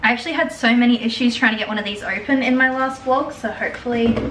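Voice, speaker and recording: A woman with an Australian accent, high-pitched and fairly quick, amid noticeable background noise and audible room echo. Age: 20s. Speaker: lifestyle vlogger. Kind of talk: casual vlog talk to camera.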